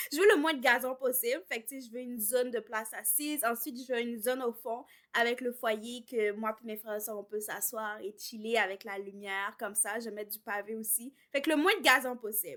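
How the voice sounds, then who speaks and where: With hardly any pauses, a woman speaks in a fairly high voice that has ordinary pitch variation and big swings in loudness. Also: fairly quick pace. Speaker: home renovation vlogger. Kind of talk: casual vlog talk. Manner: casual, with filler words and English code-switching.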